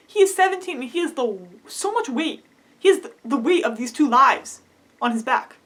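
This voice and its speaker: A woman talks at a very fast pace with very wide pitch swings over noticeable background noise. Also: big swings in loudness. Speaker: cosplay and theatre video creator. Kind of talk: casual vlog review. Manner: animated.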